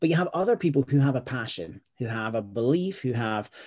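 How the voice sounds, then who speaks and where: Over a very clean recording with a silent background, a man with a Scottish accent talks at a fairly quick pace in a dark, mellow tone, his medium pitch carried by lively intonation. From Scotland. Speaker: startup founder and educator. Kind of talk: casual interview chat.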